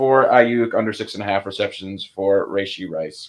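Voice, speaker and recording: Here a man has an unremarkable speaking voice at a medium pitch. He talks at a fairly quick pace. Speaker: sports betting analyst. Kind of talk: casual chat.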